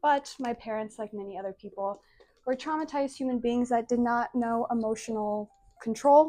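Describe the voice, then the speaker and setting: A woman with a Northern US accent speaks in a high pitch. Her tone is dark and mellow, and her pace is moderate. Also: ordinary pitch variation. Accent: American, northern US. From Azores, Portugal, then US (Massachusetts, North Dakota). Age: 20s. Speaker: social media creator. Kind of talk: personal vlog monologue.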